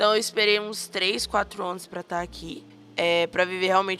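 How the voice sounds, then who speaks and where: A woman speaks at a moderate pace in a medium pitch, her tone bright and sharp. Her intonation stays fairly even. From Bahia, Brazil. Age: 20s. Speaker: missionary. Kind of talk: interview testimony.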